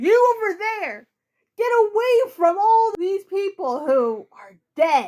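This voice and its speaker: Using a put-on character voice at an extremely high pitch, a woman speaks at a fairly slow pace with lively intonation and big swings in loudness. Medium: read story. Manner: harsh, commanding.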